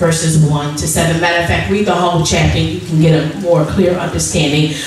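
Strong room echo and light background noise fill the recording. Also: woman. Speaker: preacher. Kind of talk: sermon. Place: church.

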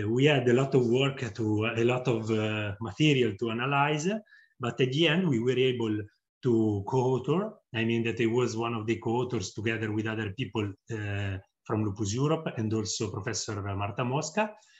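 A man speaks at a fairly quick pace with ordinary pitch variation against a quiet background. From Italy. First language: Italian. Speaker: psychologist and researcher, patient volunteer. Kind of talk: testimonial interview. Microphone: webcam.

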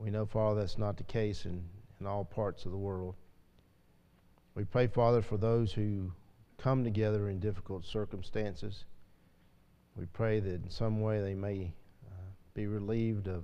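A man's fairly low voice in a dark, mellow tone, monotone and flat, at a moderate pace with long, frequent pauses. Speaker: class teacher at a church. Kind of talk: casual class talk then spoken prayer. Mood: light chat, then solemn prayer. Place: church.

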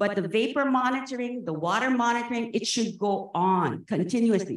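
A woman's animated, lively voice at a moderate pace, with audible room echo and a quiet background. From Hawaii. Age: 60s. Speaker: public commenter at a government meeting. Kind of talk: public comment. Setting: public meeting. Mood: impassioned, indignant. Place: hall. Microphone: podium.

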